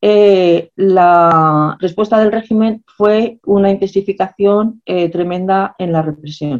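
A woman at medium pitch speaks very slowly with ordinary pitch variation and hardly any pauses. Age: 60s. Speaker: historian and activist. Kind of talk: lecture.

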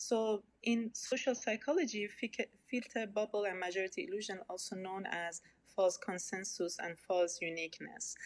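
Speaking with an Iranian accent, a woman of medium pitch talks at a moderate pace with ordinary pitch variation. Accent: Iranian (Persian) accent in English. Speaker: researcher in social networks. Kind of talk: interview. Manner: halting, many fillers.

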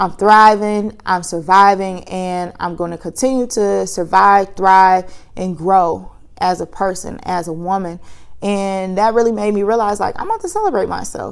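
In a plain, everyday voice, a woman speaks at a moderate pace and a medium pitch. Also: fairly even intonation, very clean recording, silent background. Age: 30s. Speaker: podcast host. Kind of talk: casual solo monologue. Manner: conversational with frequent fillers.

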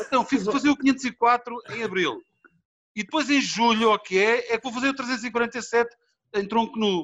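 Very slow speech unfolds here, its pitch varying in an ordinary way. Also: man, extremely high pitch for a man. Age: 50s. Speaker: bodybuilder and film actor. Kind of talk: casual interview.

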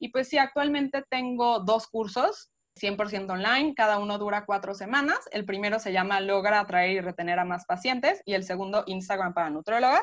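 A woman with a Mexico City accent talks at a moderate pace and medium pitch. She has ordinary pitch variation and hardly any pauses. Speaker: nutritionist. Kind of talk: interview.

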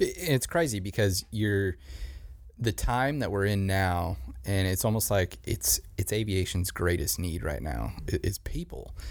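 A man with a fairly low pitch and vocal fry, lively intonation and a fairly slow pace. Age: 20s. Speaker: podcast host. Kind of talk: casual chat. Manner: animated.

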